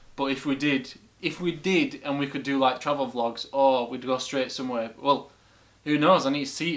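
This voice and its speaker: Intonation stays fairly even while the speech keeps a moderate pace. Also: man. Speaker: reaction video host. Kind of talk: casual vlog chat. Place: home room.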